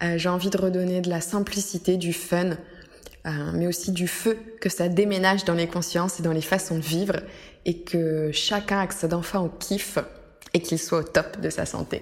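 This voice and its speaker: A fairly low-pitched woman at a moderate pace, her intonation monotone and flat. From France. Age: 20s. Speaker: wellness podcaster. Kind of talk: solo podcast monologue. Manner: hesitant, many fillers.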